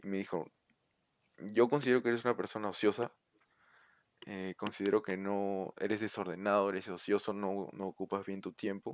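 A man with a Peruvian accent talks at a moderate pace in a fairly low pitch, with fairly even intonation. Long, frequent pauses break up his speech, and the sound is dry and close with no echo. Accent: Peruvian Spanish (Lima). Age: 20s. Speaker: university student. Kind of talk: casual chat.

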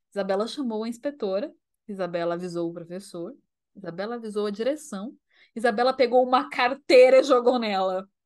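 In a quiet background, a woman speaks at a moderate pace with a fairly high pitch and ordinary pitch variation. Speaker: podcast co-host. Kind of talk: casual chat. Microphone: new microphone.

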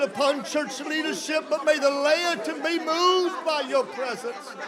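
A man speaks at a very slow pace with ordinary pitch variation. Audible room echo and crowd noise fill the background. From US South, mountain region. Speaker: preacher. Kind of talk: sermon with live interpretation.

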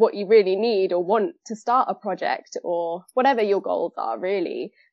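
Ordinary pitch variation runs through a normal speaking voice at a moderate pace. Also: woman. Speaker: fashion merchandiser and aspiring designer. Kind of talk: casual discussion.

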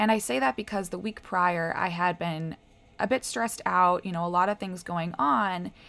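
At a moderate pace, a woman with an American accent and an ordinary speaking voice talks at a fairly low pitch with ordinary variation, in a very clean recording with a silent background. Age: 20s. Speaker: health coach and podcast host. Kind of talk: casual solo talk. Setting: at home by a window.

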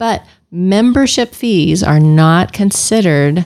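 A woman's fairly low voice, a normal speaking voice with ordinary pitch variation. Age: 50s. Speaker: family physician. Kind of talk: casual interview.

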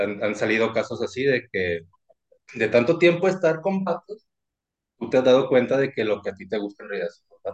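At medium pitch, a man talks at a fairly quick pace with very wide pitch swings. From Mexico, Sinaloa. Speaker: ship technician. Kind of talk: casual chat. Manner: less loud than before.

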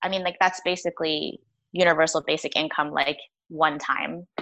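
With vocal fry and a bright, sharp tone, a woman speaks in a fairly low pitch at a moderate pace, her intonation monotone and flat. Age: 30s. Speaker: economist. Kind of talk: casual interview.

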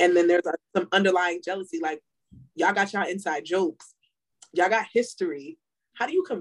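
A woman in a normal speaking voice, with medium pitch, lively intonation and a dry, close sound with no echo. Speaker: podcast co-host. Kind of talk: casual chat.

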